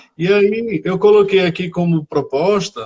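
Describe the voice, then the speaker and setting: This man speaks with a northeastern Brazilian accent in a high pitch, with ordinary pitch variation. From Brazil, Rio Grande do Norte (Areia Branca). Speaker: teacher. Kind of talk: live stream interview. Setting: Instagram live video.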